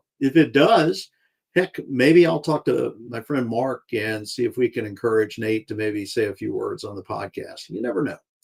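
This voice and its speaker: A man speaks with an Alabama accent at a moderate pace. The recording is very clean, with a silent background. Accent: Southern US (Alabama). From US South, Alabama (Tuscaloosa). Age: 60s. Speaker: podcast host. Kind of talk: casual monologue. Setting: live stream.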